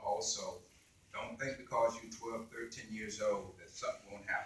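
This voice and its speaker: The speech moves at a moderate pace, with room echo clearly audible. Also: man. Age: 70s. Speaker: keynote speaker. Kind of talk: speech at a ceremony. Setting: library ceremony with audience. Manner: conversational.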